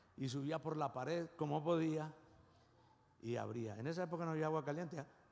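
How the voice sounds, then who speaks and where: A man speaks at a fairly quick pace with a fairly high pitch. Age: 60s. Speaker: pastor. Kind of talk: sermon. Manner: animated.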